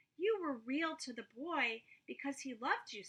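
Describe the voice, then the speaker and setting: Her put-on character voice runs high in pitch while she keeps a moderate pace. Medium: read story. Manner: soft, gentle.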